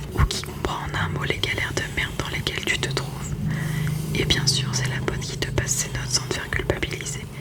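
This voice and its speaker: A woman whispers at a moderate pace while noticeable background noise carries on. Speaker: ASMR creator. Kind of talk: read story. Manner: whispered.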